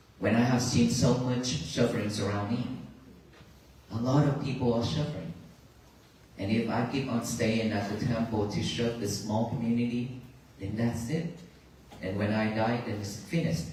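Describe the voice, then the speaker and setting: With noticeable background noise and audible room echo, a man of medium pitch speaks at a moderate pace, his pitch varying in an ordinary way and his long pauses coming often. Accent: Vietnamese. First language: Vietnamese. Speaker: Buddhist monk giving a talk on a peace walk. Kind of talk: dharma talk to a crowd. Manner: halting.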